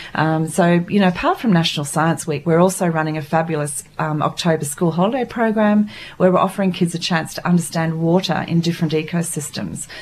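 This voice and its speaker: A woman talks at a fairly quick pace with hardly any pauses, her pitch fairly low with ordinary variation. Noticeable background noise is present. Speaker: art workshop organiser. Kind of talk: radio interview, casual chat. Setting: studio.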